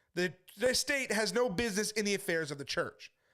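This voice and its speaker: A man talks at a fairly quick pace in a New Jersey accent. His tone is animated and his intonation lively. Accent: New Jersey American. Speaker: street preacher. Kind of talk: monologue video addressing accusations. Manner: fast.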